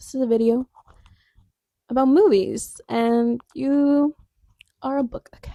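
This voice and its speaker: On a very clean recording with a silent background, a soft-spoken woman has a dark, mellow tone and a dry, close sound with no echo. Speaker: book vlogger. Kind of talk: casual chat. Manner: loud. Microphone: new clip-on microphone.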